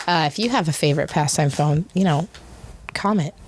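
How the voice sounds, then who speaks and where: This woman sounds animated, with ordinary pitch variation. She keeps a moderate pace. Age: 40s. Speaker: podcast host. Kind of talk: casual chat. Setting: studio, sharing a mic.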